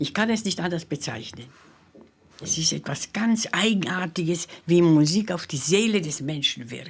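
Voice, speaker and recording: At a fairly slow pace, a woman with a fairly low pitch speaks with very wide pitch swings. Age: 90s. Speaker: Holocaust survivor musician. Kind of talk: interview testimony.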